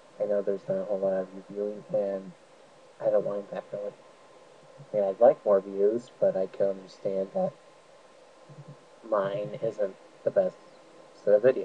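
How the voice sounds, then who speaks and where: A quiet man at a moderate pace, with long, frequent pauses. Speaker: let's play gamer. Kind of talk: game commentary.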